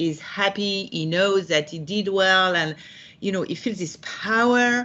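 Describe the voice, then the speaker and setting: With a French accent, a woman speaks at medium pitch with ordinary pitch variation. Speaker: executive leadership coach. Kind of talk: interview. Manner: halting, many fillers.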